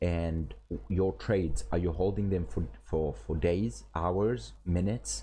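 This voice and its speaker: A man with a very deep, low pitch and a dark, mellow tone speaks at a very slow pace, somewhat breathy yet with very wide pitch swings. His loudness stays very even, and audible room echo surrounds him. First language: not English (English is his third language). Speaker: forex trading streamer and teacher. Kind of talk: live stream chat and trading tutorial. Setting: live stream. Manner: casual, filler-heavy with frequent repetitions.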